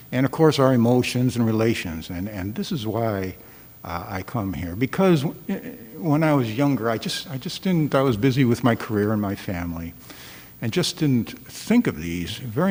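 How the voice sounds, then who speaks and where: Medium pitch for a man, very wide pitch swings, and a moderate pace. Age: 60s. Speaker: guest dharma speaker. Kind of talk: dharma talk. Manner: halting, many fillers and repetitions.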